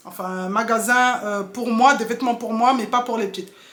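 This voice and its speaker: A woman speaks over noticeable background noise. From Mayotte, moved to France at 7. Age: 30s. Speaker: mom vlogger. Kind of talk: casual Q&A vlog. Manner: hesitant, many filler sounds.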